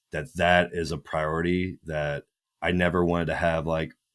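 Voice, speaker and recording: In a very clean recording with a silent background, a man with a very deep, low pitch speaks at a moderate pace with ordinary pitch variation. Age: 20s. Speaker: fitness coach and former bodybuilder. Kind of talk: casual podcast interview.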